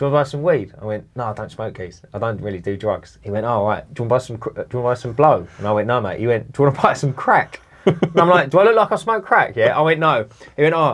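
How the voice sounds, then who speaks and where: In a London accent, a man talks at a very fast pace with a medium pitch. His pitch swings very widely, over noticeable background noise. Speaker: cleaning business owner, podcast host. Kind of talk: casual chat. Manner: animated.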